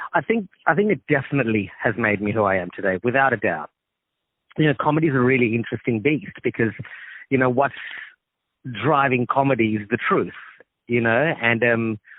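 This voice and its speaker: Taking long, frequent pauses, a man with an Australian accent keeps a fairly quick pace, very even loudness and ordinary pitch variation. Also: medium pitch for a man. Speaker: actor and comedian. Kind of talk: phone interview. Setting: phone call.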